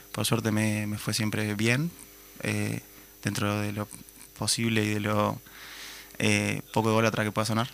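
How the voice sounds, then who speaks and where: A man speaks at a fairly low pitch in a monotone, flat way. His pace is fairly slow, broken by long, frequent pauses. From Uruguay, Minas (Lavalleja). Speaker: musician. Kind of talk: interview.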